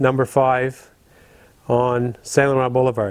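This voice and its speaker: With an Ontario accent, a man talks at a moderate pace and a medium pitch. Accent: Canadian English (Ontario). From Ottawa, Canada. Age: 70s. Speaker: retired firefighter. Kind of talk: interview.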